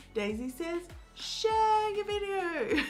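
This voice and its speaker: Over noticeable background noise, a woman talks in an upbeat tone. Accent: Australian. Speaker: YouTube coach. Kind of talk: tutorial. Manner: casual, upbeat.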